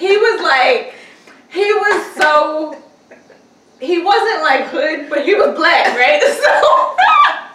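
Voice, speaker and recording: Over noticeable background noise and audible room echo, a woman with an extremely high pitch projects a raised voice at a very slow pace, with very wide pitch swings and big swings in loudness. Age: 30s. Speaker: podcast co-host. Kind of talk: casual chat.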